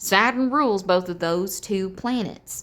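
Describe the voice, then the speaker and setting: With lively intonation and an American accent, the speaker keeps a moderate pace. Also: woman. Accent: slight Texan twang that slips out. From Texas. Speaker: tarot reader. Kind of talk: tarot reading. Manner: casual, animated.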